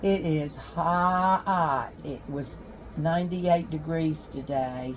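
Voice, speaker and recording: A woman with a North Carolina accent speaks at a very slow pace in a very deep, low pitch with ordinary pitch variation. Room echo is audible. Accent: Southern US (North Carolina). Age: 70s. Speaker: homesteading vlogger, retired history teacher. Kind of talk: casual vlog talk.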